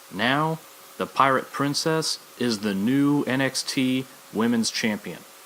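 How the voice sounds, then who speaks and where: Noticeable background noise surrounds a man whose pitch is fairly high. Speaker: wrestling podcast host. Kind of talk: solo podcast commentary. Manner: animated.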